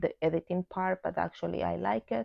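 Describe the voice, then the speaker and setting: A woman talks at a moderate pace. She has a non-native accent. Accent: non-native English, pronunciation mistakes. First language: Spanish. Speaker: book vlogger. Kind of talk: casual vlog monologue. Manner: halting, with fillers and repeats.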